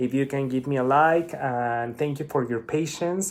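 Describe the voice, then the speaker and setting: A man with a Spanish accent talks at a fairly slow pace in a medium pitch. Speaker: spiritual vlogger. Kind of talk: casual monologue.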